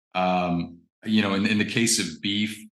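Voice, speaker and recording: With an American accent, a man speaks at a moderate pace in a fairly low pitch, his bright, sharp tone carrying audible room echo. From US Midwest (Indiana). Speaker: actor and fine artist. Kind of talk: interview. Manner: hesitant, many fillers and repetitions.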